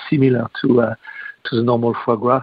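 With a French accent, a man speaks at a moderate pace. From France. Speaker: restaurateur and chef. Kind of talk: interview. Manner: halting.

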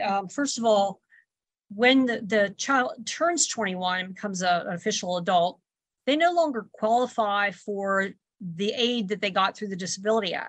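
Against a quiet background, a woman talks at a moderate pace in a normal speaking voice with ordinary pitch variation. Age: 60s. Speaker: grandmother and caregiver. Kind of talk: radio interview.

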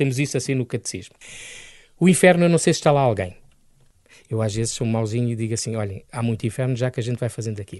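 With long, frequent pauses breaking up a very fast pace, a man at medium pitch speaks in an animated, energetic tone with ordinary pitch variation against a quiet background. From Angola, then Lisbon area, Portugal. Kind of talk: radio interview.

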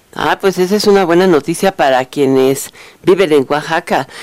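Dry and close with no echo, a woman with a normal speaking voice talks at a moderate pace with a fairly low pitch and ordinary pitch variation. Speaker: radio news host. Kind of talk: radio news and interview.

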